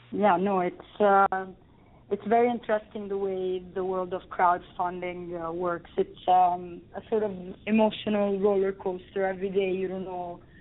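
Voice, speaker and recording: At a moderate pace, a woman with a strong Italian accent talks in a monotone, flat way at a medium pitch. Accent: thick Italian. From Italy, Rome. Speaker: film director. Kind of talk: interview. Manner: halting.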